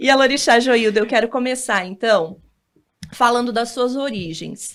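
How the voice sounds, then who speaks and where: A woman speaks in a plain, everyday voice, fairly high-pitched with ordinary pitch variation, on a very clean recording with a silent background. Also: moderate pace. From northern Paraná, Brazil. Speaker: TV interviewer. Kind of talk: interview.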